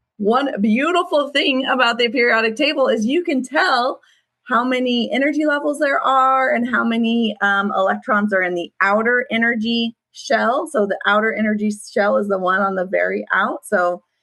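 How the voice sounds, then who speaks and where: A woman with an unremarkable speaking voice and fairly high pitch talks at a moderate pace, hardly pausing at all. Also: lively intonation. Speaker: online school science teacher. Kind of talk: class review lecture. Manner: casual, with many fillers.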